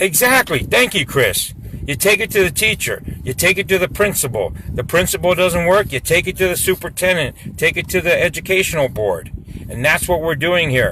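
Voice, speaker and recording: Loud and animated, a man speaks at a high pitch with lively intonation and a fairly quick pace. Noticeable background noise runs underneath. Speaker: local activist. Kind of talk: live stream chat.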